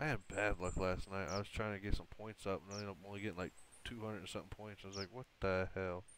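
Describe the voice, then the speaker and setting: Intonation stays fairly even as a man with a fairly low pitch talks at a very fast pace. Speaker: gaming streamer. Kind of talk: gameplay commentary. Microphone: voice too quiet in-game.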